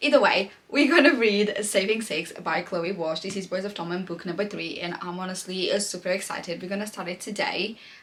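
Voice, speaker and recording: A woman, ordinary in her pitch variation, against noticeable background noise. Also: medium pitch for a woman, fairly quick pace, hardly any pauses. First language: not English. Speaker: book vlogger. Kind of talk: casual monologue to camera. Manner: animated.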